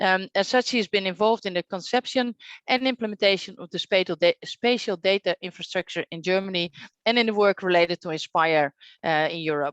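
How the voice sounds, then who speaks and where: Speaking at a fairly quick pace with a Dutch accent, a woman uses a medium pitch and ordinary pitch variation, her loudness swinging widely, in a dry, close sound with no echo over a quiet background. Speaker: session moderator. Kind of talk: moderated online workshop.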